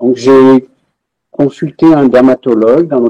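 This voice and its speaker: A man talks at a fairly slow pace in a dark, mellow tone. The sound is dry and close, with no echo. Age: 60s. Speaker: patient, retired research engineer. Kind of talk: testimony. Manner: halting, many hesitations.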